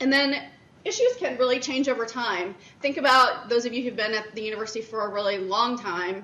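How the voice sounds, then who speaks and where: The voice moves at a fairly quick pace with ordinary pitch variation. Room echo can be heard. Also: woman, fairly high pitch for a woman. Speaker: director of internal audit presenting at a conference. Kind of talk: conference presentation. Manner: loud.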